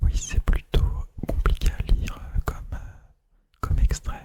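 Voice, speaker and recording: A man whispers. His pace is fairly slow. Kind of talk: casual talk to camera. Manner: whispered.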